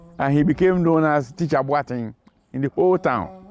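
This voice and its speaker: Music plays behind the speech. A man talks at a moderate pace. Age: 80s+. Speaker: religious convert. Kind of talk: testimony.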